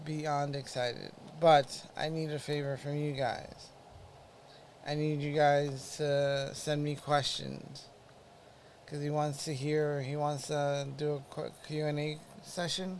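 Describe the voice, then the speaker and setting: Speaking at a very slow pace, a man uses monotone, flat intonation and a fairly high pitch. Room echo is audible. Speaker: podcast host with Parkinson's, former EMT. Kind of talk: casual live-stream update. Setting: live stream. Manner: halting.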